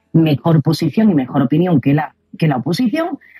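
Dry and close with no echo, a woman's fairly low, somewhat breathy voice has a dark, mellow tone and lively intonation. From Spain. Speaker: co-host. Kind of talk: casual chat. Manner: animated.

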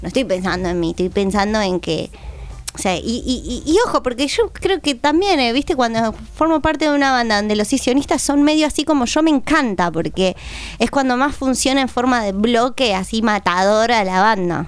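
Very wide pitch swings mark this voice, which keeps to a moderate pace. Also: woman. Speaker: musician. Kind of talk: casual chat.

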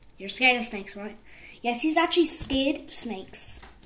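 This woman's intonation is lively. Noticeable background noise runs under her voice. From Bulgaria. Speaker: podcast host. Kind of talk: casual chat. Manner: rambling, repetitive, informal.

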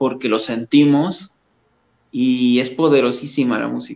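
Fairly slow speech from a man with a medium pitch. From Mexico, Coatepec, Veracruz. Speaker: musician. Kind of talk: casual interview. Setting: video call.

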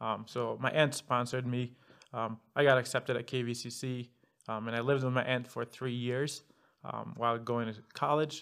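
A man speaks in a flat monotone, captured in a very clean recording with a silent background. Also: medium pitch for a man, moderate pace. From Egypt. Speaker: guest, mechanical engineer. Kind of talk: casual interview. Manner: well-spoken, outgoing.

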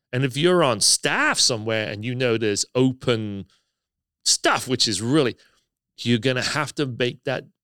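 A man with an American accent, medium-pitched and bright, sharp in tone, with ordinary pitch variation at a moderate pace, on a very clean recording with a silent background and a dry, close sound with no echo. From England. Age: 50s.

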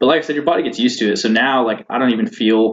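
The pace from this man is very fast. Pitch variation stays ordinary. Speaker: navy officer and student pilot. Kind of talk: casual interview chat.

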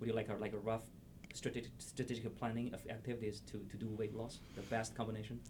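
The voice rushes at a very fast pace, monotone and flat, with vocal fry. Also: man, medium pitch for a man. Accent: Chinese. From China. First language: Chinese. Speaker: podcast host. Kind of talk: interview.

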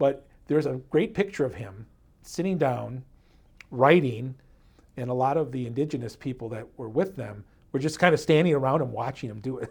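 Long, frequent pauses break up a man's somewhat breathy, medium-pitched voice with ordinary pitch variation. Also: fairly quick pace, big swings in loudness. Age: 50s. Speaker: history podcast co-host. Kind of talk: casual history storytelling.

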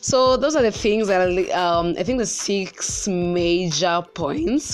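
A woman with a Kenyan accent speaks with lively intonation. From central Kenya. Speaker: podcast host. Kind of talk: personal monologue. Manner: casual, filler-heavy; high energy.

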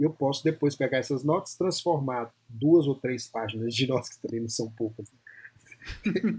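At a fairly slow pace, a man speaks. His voice is somewhat breathy. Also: fairly high pitch for a man, ordinary pitch variation. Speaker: psychologist and podcaster. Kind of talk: casual interview chat.

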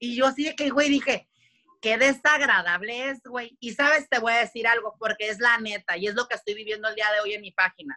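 A woman speaks fairly quickly at a fairly high pitch, her tone bright, sharp and animated. Her pitch variation is ordinary. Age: 30s. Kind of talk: casual chat.

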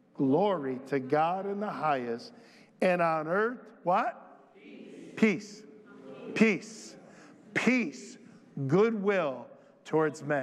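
A man with an animated, warm tone and lively intonation. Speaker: pastor. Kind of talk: sermon. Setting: church. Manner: animated, warm and folksy, with jokes and crowd call-outs; preacherly, with rallying call-and-response.

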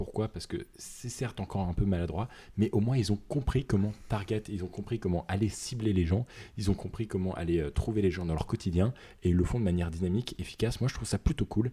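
A man's fairly low, dark and mellow voice, somewhat breathy, at a fairly quick pace, in a very clean recording with a silent background. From northern France. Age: 20s. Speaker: podcast co-host. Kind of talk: casual chat.

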